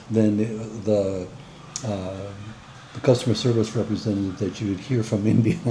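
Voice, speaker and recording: Over noticeable background noise, a man with an American accent speaks in a monotone, flat intonation, leaving long, frequent pauses. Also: fairly low pitch for a man, moderate pace. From United States. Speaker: co-host, vlogger's husband. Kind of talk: casual chat. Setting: home, over coffee.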